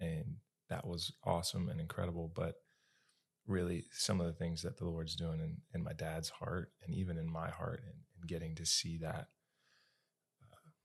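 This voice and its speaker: With an American accent, a man talks at a moderate pace in a very deep, low pitch, his intonation fairly even and his pauses long and frequent. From western North Carolina (Asheville). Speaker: podcast co-host. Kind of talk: casual faith conversation.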